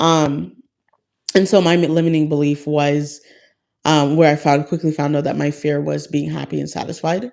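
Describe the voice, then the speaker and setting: A woman's very deep, low voice, fairly even in intonation, at a moderate pace. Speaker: lifestyle content creator. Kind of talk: live stream chat with viewers. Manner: halting, many fillers.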